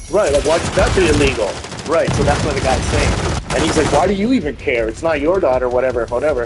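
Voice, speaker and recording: A man's animated, very fast speech, with noticeable background noise and audible room echo. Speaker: gaming livestreamer. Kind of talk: casual chat. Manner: loud.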